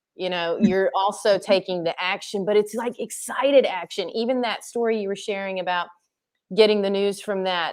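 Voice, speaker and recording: This woman has an unremarkable speaking voice, pitched in the medium range and delivered at a moderate pace. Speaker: charity runner and interviewer. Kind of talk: interview host talk. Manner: upbeat.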